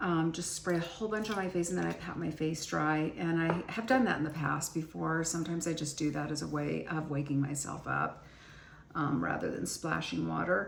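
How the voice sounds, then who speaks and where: Audible room echo and noticeable background noise surround a woman whose very deep, low voice moves with ordinary pitch variation at a fairly quick pace. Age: 60s. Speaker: beauty and skincare vlogger. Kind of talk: casual chat. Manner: conversational, with frequent fillers.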